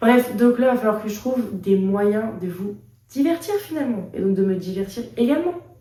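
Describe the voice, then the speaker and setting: Noticeable background noise sits behind a woman with a fairly high voice and lively intonation, speaking at a moderate pace. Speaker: vlogger. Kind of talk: casual vlog chat. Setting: hospital. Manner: animated; chatty.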